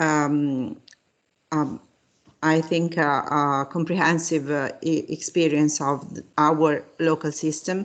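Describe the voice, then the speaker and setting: A woman's very deep, low voice with a non-native accent, monotone and flat, at a very slow pace over a quiet background. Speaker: university professor. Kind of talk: lecture. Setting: video call. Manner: halting.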